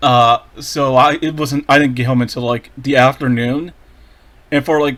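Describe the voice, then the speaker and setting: Quiet and monotone, the voice keeps a flat intonation at a moderate pace. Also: man, fairly high pitch for a man. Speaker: gaming youtuber. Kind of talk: reaction commentary. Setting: home recording, audio only.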